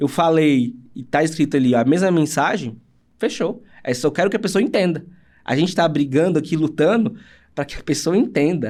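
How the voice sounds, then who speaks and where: Here a man speaks with lively intonation. His pitch sits fairly high. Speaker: accessibility audiovisual producer. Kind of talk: casual interview chat. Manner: fast.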